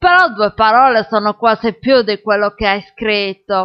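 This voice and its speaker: Her tone pompous, a woman speaks at a fairly high pitch. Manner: mock-pompous, lecturing, fussy and rambling, with comic self-importance and digressions.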